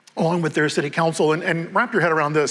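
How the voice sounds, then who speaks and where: This man's voice sits high in pitch, with noticeable background noise behind it. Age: 60s. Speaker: mayor. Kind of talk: onstage interview. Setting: stage with audience.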